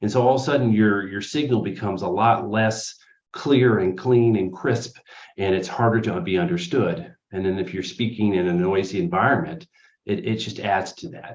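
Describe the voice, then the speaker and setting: An unremarkable speaking voice from a man, fairly low in pitch, with lively intonation at a moderate pace. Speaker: speech therapist. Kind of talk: interview answer.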